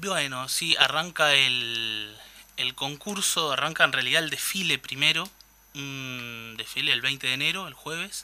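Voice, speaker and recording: A man with a Uruguayan accent, fairly high in pitch with ordinary pitch variation, at a fairly slow pace with big swings in loudness and noticeable background noise. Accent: Uruguayan Spanish (rioplatense). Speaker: carnival columnist. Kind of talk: radio talk segment. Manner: hesitant, many repeated words.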